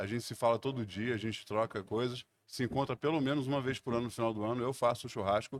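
The speech runs at a very fast pace in a dry, close sound with no echo. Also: man, medium pitch for a man. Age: 50s. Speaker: food content creator, former designer. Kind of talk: casual chat. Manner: animated.

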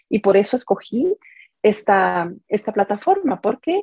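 Her voice has a dark, mellow tone at a medium pitch with very wide pitch swings, and the woman sounds dry and close with no echo. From Guatemala. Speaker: family constellations therapist and coach. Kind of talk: interview. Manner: halting.

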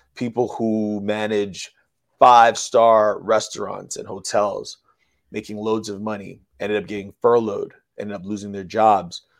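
A man with a fairly low, monotone, flat voice at a moderate pace, long, frequent pauses, and big swings in loudness against a quiet background. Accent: American. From Bronx, New York. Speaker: financial educator and DJ. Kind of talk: interview with sales pitch. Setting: remote video call from Las Vegas.

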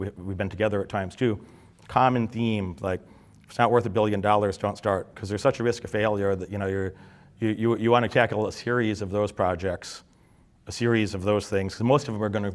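This man talks very fast, at a fairly low pitch. His intonation is fairly even, and the recording is very clean with a silent background. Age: 40s. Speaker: entrepreneur and business coach. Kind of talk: motivational talk. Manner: halting.

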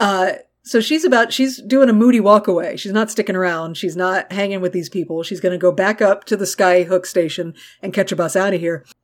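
A woman's animated, fairly quick speech at medium pitch with ordinary pitch variation, on a very clean recording with a silent background. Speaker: podcast co-host. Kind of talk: casual chat about TV episodes.

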